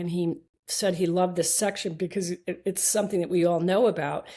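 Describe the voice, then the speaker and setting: A woman's dark, mellow voice at a very fast pace. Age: 60s. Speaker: eye surgeon. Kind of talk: interview. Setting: podcast interview. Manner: halting.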